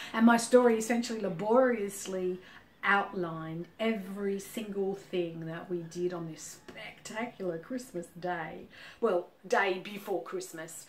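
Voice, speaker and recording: Speaking with an Australian accent, a woman at a medium pitch talks at a fairly slow pace with ordinary pitch variation and big swings in loudness, her voice carrying audible room echo. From Australia, Sydney. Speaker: business consultant. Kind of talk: casual monologue. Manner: hesitant, many fillers.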